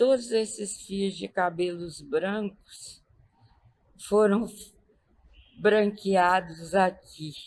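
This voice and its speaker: Long pauses come often, and the speech moves very slowly. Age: 80s+. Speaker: retired teacher interviewed for school documentary. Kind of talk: interview testimony. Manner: halting.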